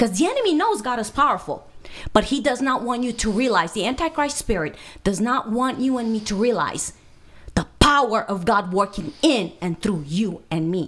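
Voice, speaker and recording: A fairly high-pitched woman with a Romanian accent and very wide pitch swings. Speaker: minister, speaker. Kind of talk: podcast interview answer. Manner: fast. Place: studio. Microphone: studio mic.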